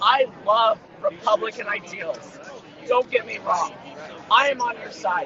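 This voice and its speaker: Amid crowd noise, a man with an extremely high pitch speaks in an animated tone at a fairly slow pace, with ordinary pitch variation, big swings in loudness, and long, frequent pauses. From Russia. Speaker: protester. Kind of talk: heated debate. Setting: outdoors.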